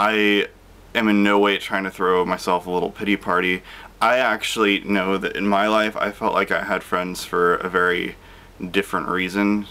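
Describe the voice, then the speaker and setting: The speaker is a man with a fairly low pitch. His intonation is monotone and flat. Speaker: vlogger. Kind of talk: casual vlog chat. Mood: reflective, calm with small laughs. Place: home room. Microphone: phone near.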